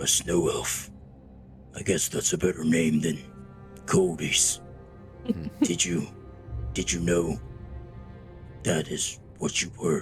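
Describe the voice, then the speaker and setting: A man's put-on character voice, very deep and low, at a very slow pace with long, frequent pauses over clear background music. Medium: actual play. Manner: measured, courteous.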